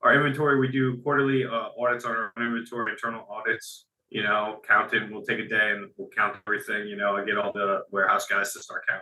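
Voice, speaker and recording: A man with a New Jersey accent, talking at a very fast pace. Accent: New Jersey American. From Central New Jersey. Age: 20s. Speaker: warehouse operations worker. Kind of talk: interview. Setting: call.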